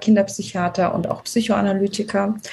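A woman with a medium pitch and fairly even intonation talks fairly slowly, noticeable background noise behind her. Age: 40s. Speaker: team coach. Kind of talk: podcast interview. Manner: hesitant, many filler sounds.

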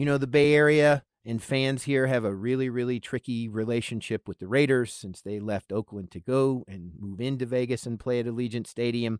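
A man with a normal speaking voice talks in an American accent at a fairly quick pace, with medium pitch and ordinary pitch variation. The sound is dry and close, with no echo. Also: hardly any pauses. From US South, Charlotte, North Carolina. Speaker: radio news anchor. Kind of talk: casual radio interview.

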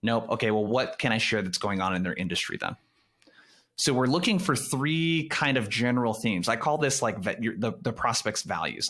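At a medium pitch, a man talks at a fairly quick pace with lively intonation, on a very clean recording with a silent background. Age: 30s. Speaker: sales coach. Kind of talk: casual interview.

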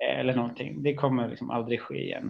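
The man speaks at a medium pitch. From Stockholm, Sweden. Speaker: AI executive. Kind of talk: interview. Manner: hesitant, many fillers.

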